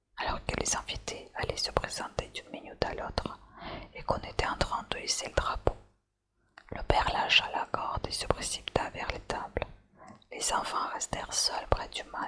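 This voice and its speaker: Whispering at a moderate pace. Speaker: ASMR channel host. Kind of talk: whispered ASMR story reading. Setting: candlelight and fireplace ambience. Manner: whispered, soft.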